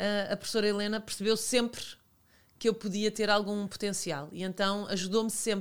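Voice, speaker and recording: A woman speaks at a moderate pace and medium pitch. Her intonation is monotone and flat. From Portugal, Lisbon and Alentejo (Santo André). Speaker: TV presenter and former model. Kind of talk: casual chat.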